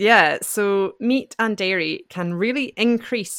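A woman with a Scottish accent at a medium pitch and fairly slow pace, in a very clean recording with a silent background. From Scotland. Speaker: podcast host, founder of an English-learning podcast. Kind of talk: scripted educational podcast chat.

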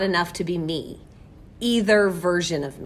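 In an ordinary speaking voice, a woman goes at a fairly slow pace, with ordinary pitch variation. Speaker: school librarian or teacher hosting a book podcast. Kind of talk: casual educational chat about a book.

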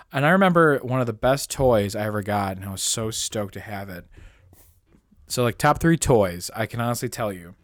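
A man speaks at a fairly quick pace with an American accent, an unremarkable speaking voice at medium pitch, lively intonation and big swings in loudness, on a very clean recording with a silent background. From Indiana, Pennsylvania (western Pennsylvania). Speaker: podcast co-host. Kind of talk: casual chat.

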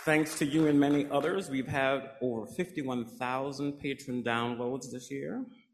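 A man with a plain, everyday voice and an American accent speaks at a fairly slow pace and fairly high pitch, with ordinary pitch variation and hardly any pauses. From US South, rural South Carolina. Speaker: library director. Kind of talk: speech.

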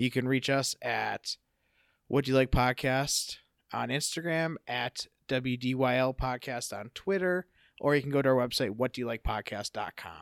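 A man's unremarkable speaking voice at medium pitch, moderate pace and ordinary pitch variation, with a dry, close sound with no echo and a very clean recording with a silent background. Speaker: podcast host. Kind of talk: casual interview. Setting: in person.

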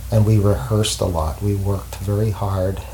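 A man speaks at a moderate pace and fairly low pitch, somewhat breathy, with a dark, mellow tone and lively intonation. There is audible room echo. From Montreal, Quebec. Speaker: jazz saxophonist and teacher. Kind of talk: interview. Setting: at home. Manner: halting.

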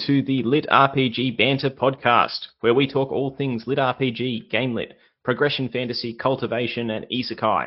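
Speaking at a moderate pace, a man has a medium pitch and an Australian accent. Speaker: podcast host. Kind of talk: interview. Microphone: bad internet connection, glitches.

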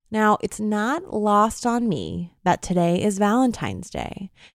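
With an American accent and an unremarkable speaking voice, a woman talks at a fairly slow pace in a medium pitch with ordinary pitch variation, the sound dry and close with no echo. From New York State. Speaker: podcast host and audio storyteller. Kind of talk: scripted narration; casual interview conversation.

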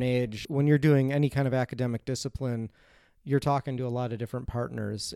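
A man with an American accent speaks fairly quickly in an unremarkable speaking voice. His pitch sits fairly high and varies in an ordinary way. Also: very clean recording, silent background. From US Midwest, Chicago. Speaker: philosophy lecturer, podcast co-host. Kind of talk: casual academic discussion.

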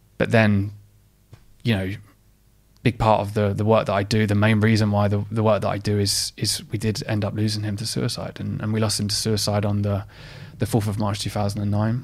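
A man with an Essex accent talks at a fairly quick pace. His voice is fairly low, with monotone, flat intonation. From Essex, England. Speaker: mental health advocate and company founder. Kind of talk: interview conversation.

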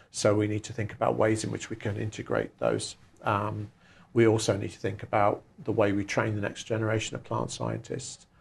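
With a southern English accent and vocal fry, a man speaks at a fairly quick pace with fairly even intonation against a quiet background. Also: fairly low pitch for a man. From southern England, West Sussex. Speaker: plant scientist, research institute director. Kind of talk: interview. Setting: in person at his laboratory. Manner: hesitant, many fillers.

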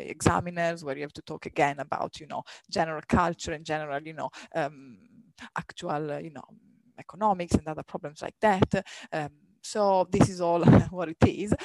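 The speaker has an Italian accent and keeps a moderate pace. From Italy, near Milan. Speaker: radiologist. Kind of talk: casual interview.

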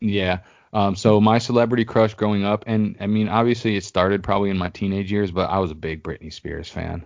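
Delivered at a fairly quick pace, an unremarkable speaking voice keeps a fairly even intonation. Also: man, fairly low pitch for a man. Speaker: podcast host. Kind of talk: casual chat. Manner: casual.

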